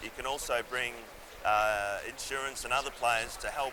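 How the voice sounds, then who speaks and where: Noticeable background noise and audible room echo surround a man with an Australian accent speaking at a moderate pace with fairly even intonation. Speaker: engineering firm technical director. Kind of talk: interview. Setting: conference venue.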